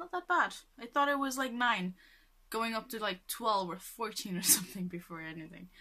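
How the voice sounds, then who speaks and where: A woman's voice with very wide pitch swings over a quiet background. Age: 20s. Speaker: vlogger. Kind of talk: casual vlog monologue. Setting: at home, filming self. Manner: rambling with many fillers. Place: home room. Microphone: webcam.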